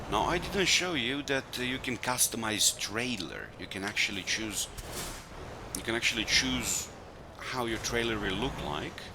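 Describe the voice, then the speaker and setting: A man with a non-native accent at medium pitch, amid noticeable background noise. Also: lively intonation, moderate pace. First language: not English. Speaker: gaming video creator. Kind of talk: gameplay commentary. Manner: halting, with self-corrections.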